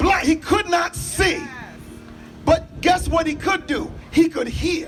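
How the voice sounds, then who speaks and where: Shouting at an extremely high pitch, a man talks very slowly with fairly even intonation over music in the background. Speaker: pastor. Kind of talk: sermon-style public address. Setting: outdoors at a rally with audience responses.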